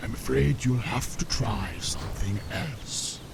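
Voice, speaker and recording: A man does a put-on character voice, fairly low in pitch and fairly slow in pace. Loud background noise runs under him. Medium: game stream. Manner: gruff, stubborn.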